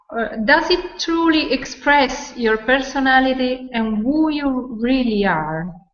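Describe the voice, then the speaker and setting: The intonation is lively, and the pace is very slow. The speaker has a non-native accent. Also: woman, high pitch for a woman. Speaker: voice coach. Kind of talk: webinar presentation. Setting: online video webinar. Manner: halting, searching for words.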